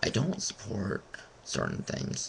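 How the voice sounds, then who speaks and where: A man speaks at a fairly slow pace. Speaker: vlogger. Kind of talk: webcam rant. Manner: halting.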